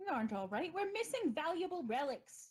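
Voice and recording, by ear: Putting on a character voice with a British accent, a woman speaks at an extremely high pitch with very wide pitch swings. Her pace is fairly quick.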